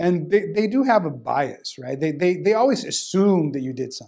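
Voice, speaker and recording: With a Spanish accent, a man speaks at a moderate pace in a dark, mellow tone and lively intonation. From Sonora, northern Mexico. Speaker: criminal defense lawyer. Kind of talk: testimonial interview.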